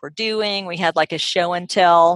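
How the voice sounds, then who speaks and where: A woman with an American accent talks at a moderate pace with a fairly low pitch and ordinary pitch variation. The sound is dry and close with no echo. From US South, Atlanta, Georgia. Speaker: speech-language pathologist. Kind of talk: casual chat. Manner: hesitant, many fillers.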